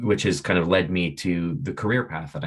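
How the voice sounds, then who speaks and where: Against a quiet background, a man with a Canadian accent and a very deep, low pitch talks at a fairly quick pace. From Canada. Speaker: science communicator. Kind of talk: webinar talk. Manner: halting, many fillers. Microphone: video call.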